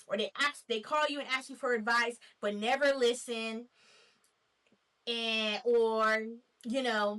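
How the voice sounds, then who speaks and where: Bright and sharp in tone, the speaker has an American accent and goes very slowly, with long, frequent pauses. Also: woman. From Nashville, Tennessee, USA. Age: 20s. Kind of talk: casual talk to camera.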